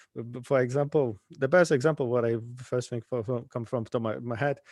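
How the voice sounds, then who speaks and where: A man speaks with a Polish accent at a fairly quick pace. His intonation is fairly even, and the background is quiet. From Poland. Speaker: conference speaker, infrastructure engineer. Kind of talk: tech talk. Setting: live-streamed online meetup. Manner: halting, many stutters and restarts.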